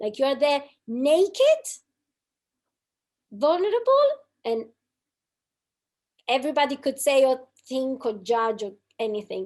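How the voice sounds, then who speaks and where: A woman's high-pitched voice with a non-native accent, lively intonation, a fairly slow pace, and long, frequent pauses. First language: not English. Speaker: podcast co-host. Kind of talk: casual conversation.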